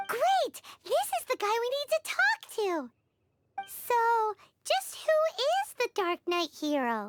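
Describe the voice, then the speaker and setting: In a put-on character voice, the speaker sounds squeaky and energetic at an extremely high pitch, moving at a fairly slow pace with long, frequent pauses. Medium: video game. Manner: energetic, blunt.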